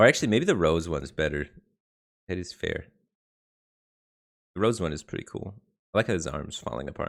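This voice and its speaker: A man's very deep, low voice in an American accent, fairly quick with lively intonation, vocal fry and long, frequent pauses. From Detroit, US Midwest. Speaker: game streamer. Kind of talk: live stream chat. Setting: live stream.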